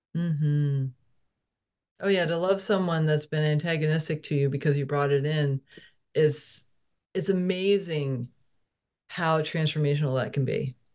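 Long pauses break up the speech frequently. Otherwise it moves at a moderate pace. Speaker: podcast host. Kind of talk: interview conversation.

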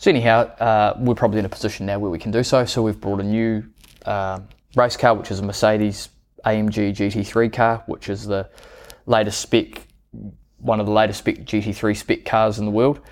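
A man with a New Zealand accent, fairly low pitch, monotone, flat intonation and a fairly quick pace, very cleanly recorded against a silent background. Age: 30s. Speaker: business owner. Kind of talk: interview.

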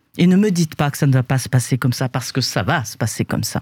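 A somewhat breathy woman's voice swings very widely in pitch in a very clean recording with a silent background. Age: old. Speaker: panelist. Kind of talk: panel discussion.

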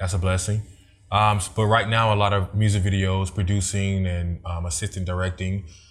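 With a very deep, low pitch and monotone, flat intonation, a man speaks at a fairly quick pace in an American accent, sounding somewhat breathy on a very clean recording with a silent background. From Germany, military family. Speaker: radio/TV personality and video producer. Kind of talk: casual interview chat.

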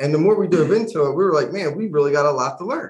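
A man speaks with very wide swings in pitch. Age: 40s. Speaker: podcast co-host. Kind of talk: casual chat.

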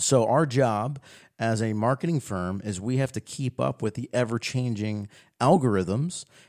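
With a plain, everyday voice, a man speaks at a medium pitch and moderate pace with ordinary pitch variation, on a very clean recording with a silent background and a dry, close sound with no echo. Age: 30s. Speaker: digital marketing firm owner, podcast host. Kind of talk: casual chat.

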